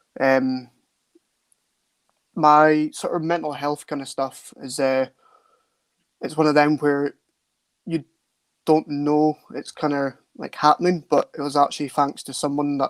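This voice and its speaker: With a Scottish Highland accent, a man with a fairly high voice speaks at a moderate pace. His intonation is flat and monotone, broken by long, frequent pauses. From Scottish Highlands, far north. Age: 20s. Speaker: soldier and men's mental health advocate. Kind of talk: interview testimony. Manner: halting, many fillers.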